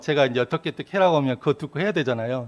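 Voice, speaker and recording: Against a quiet background, a man with a fairly high pitch is heard in a dry, close recording with no echo. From Korea, rural Yeonggwang area. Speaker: Won Buddhist minister giving dharma talks. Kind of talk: dharma talk. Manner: conversational storytelling.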